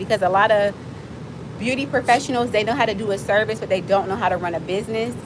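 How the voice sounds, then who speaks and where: Amid noticeable background noise, a woman speaks in an American accent. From Miami, Florida. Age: 40s. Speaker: livestreamer and nonprofit founder. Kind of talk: casual livestream chat. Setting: outdoors. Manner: animated.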